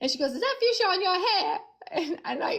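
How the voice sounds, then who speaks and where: A woman speaks with a New Jersey accent, her pitch swinging very widely. Noticeable background noise sits behind her. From Newark, New Jersey. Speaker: singer-songwriter. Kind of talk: casual interview chat.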